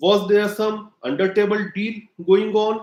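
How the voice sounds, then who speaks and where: With an Indian accent, a man speaks at a fairly slow pace in a high pitch. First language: Hindi. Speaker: political commentator. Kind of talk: opinion monologue to camera. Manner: halting, many fillers; emphatic.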